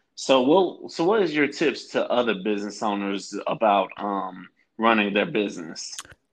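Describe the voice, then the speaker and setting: A man with a normal speaking voice, medium pitch and lively intonation, at a moderate pace against a quiet background. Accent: American. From Florida. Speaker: podcast host. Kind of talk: casual interview.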